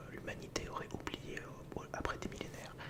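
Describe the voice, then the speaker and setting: The voice is a whisper. Background noise is noticeable. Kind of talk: ASMR educational talk. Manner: whispered.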